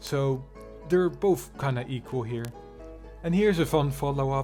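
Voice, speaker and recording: Music plays in the background as a man talks at a fairly slow pace. His intonation is lively. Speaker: drama commentary YouTuber. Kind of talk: casual commentary reacting to online drama.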